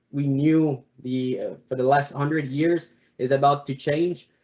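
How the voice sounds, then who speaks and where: Speaking with a Quebec accent, a man uses monotone, flat intonation at a fairly high pitch. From Quebec, Montreal. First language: French. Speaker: automotive analyst, alumni panelist. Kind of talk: panel presentation. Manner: halting, many fillers.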